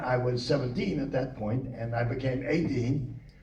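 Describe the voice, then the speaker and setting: Moderate pace and fairly even intonation, with noticeable background noise and audible room echo. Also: man. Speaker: World War II veteran navigator. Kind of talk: oral history talk.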